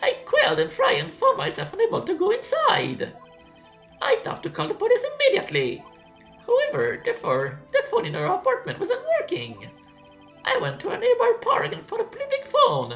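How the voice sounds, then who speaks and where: Putting on a character voice, a man talks at a fairly quick pace while clear music plays in the background. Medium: solo performance. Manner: nervous.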